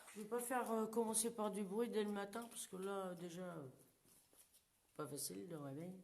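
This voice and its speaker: Loud and at a moderate pace, a woman speaks with very wide pitch swings and long, frequent pauses. Room echo is audible. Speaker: paranormal investigator. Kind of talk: live paranormal investigation. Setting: abandoned burned house, live stream. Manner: casual. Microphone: too quiet when moving away.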